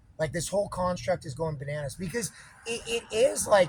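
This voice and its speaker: Over noticeable background noise, a man with an American accent speaks at a fairly quick pace, in an animated tone and at a high pitch. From California. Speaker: independent researcher. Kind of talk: casual chat. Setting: public library.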